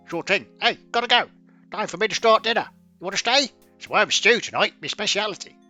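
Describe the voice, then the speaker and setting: Over faint background music, a man uses a put-on character voice, high-pitched and at a fairly quick pace. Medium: solo performance. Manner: casual, folksy.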